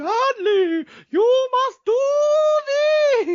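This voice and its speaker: Someone performs a put-on character voice. The pitch sits extremely high. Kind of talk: gentle, sing-song fairy godmother voice.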